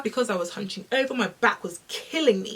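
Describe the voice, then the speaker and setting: A woman with a British accent speaks with lively intonation over noticeable background noise. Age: 20s. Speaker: fitness content creator. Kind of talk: casual talk to camera.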